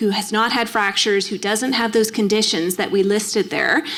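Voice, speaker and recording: With noticeable background noise behind her, a woman speaks in a Canadian accent at a fairly high pitch. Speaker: endocrinologist. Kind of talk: Q&A after a lecture. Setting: library event hall with audience. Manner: fast.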